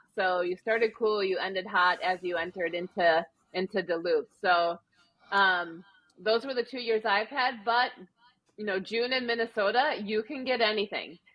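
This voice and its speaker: A woman with a Wisconsin accent talks at a moderate pace, using a medium pitch and ordinary pitch variation. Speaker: amateur marathon runner. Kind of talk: casual interview. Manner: conversational with frequent fillers.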